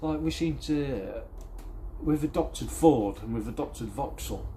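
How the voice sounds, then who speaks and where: A man talks at a moderate pace. His voice echoes audibly in the room. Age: 30s. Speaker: car restoration vlogger. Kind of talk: casual vlog chat. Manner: rambling, halting.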